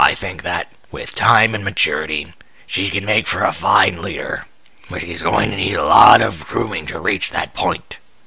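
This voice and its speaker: Using a put-on character voice, a man speaks at a moderate pace with fairly low pitch, gravelly and raspy. Light background noise sits under the recording. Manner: stern, measured.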